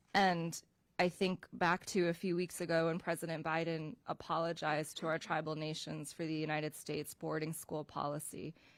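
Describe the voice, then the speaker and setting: A woman's fairly low, monotone voice at a moderate pace, in a very clean recording with a silent background. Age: 40s. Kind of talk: testimony.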